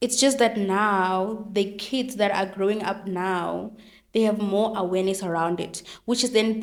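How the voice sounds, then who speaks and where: Audible room echo surrounds a woman speaking at a medium pitch with fairly even intonation. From South Africa, Venda (Limpopo). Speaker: educational psychologist. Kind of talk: interview. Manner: fast.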